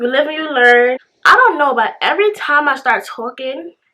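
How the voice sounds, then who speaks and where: Raising and projecting her high-pitched voice, a woman talks at a moderate pace with very wide pitch swings. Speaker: hairstylist and beauty vlogger. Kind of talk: casual storytime vlog. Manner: halting.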